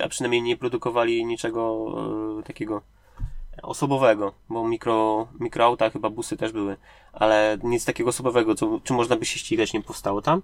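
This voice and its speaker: Recorded with a dry, close sound with no echo, a man speaks at a fairly quick pace and medium pitch with fairly even intonation. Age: 30s. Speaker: indie game developer. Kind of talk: interview. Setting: sitting in a parked car. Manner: halting.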